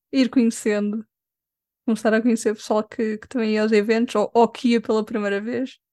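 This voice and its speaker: A woman with a fairly high pitch and a dark, mellow tone speaks at a moderate pace, the sound dry and close with no echo against a quiet background. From Lisbon, Portugal. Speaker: cosplayer and makeup artist. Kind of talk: casual interview.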